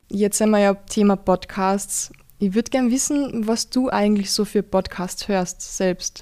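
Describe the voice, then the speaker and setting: A woman's dark, mellow tone at medium pitch, fairly slow and very even in loudness. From Austria, rural Carinthia. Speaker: podcast host. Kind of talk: casual interview. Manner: animated.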